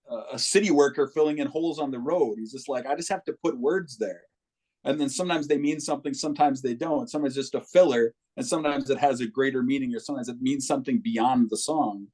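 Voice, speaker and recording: Here a man talks at a very fast pace. His pitch is fairly high, with lively intonation. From Minneapolis, Minnesota. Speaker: musician. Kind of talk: casual chat.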